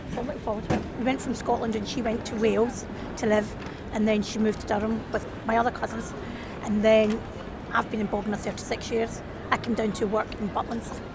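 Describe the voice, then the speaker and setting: Fairly quick, monotone, flat speech from a woman amid noticeable background noise. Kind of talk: casual chat. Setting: outdoors.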